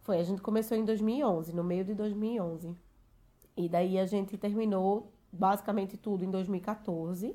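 At a fairly slow pace, a woman speaks at medium pitch in a dark, mellow tone with fairly even intonation, on a very clean recording with a silent background. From Recife, Brazil. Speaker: expat content creator. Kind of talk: casual chat.

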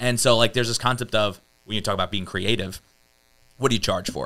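A bright, sharp tone moves at a fairly quick pace. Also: man. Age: 30s. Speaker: software company founder. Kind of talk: interview conversation.

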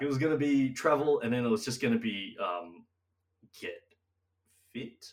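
A man in an Australian accent talks at a moderate pace. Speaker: podcast co-host. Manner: casual, chatty.

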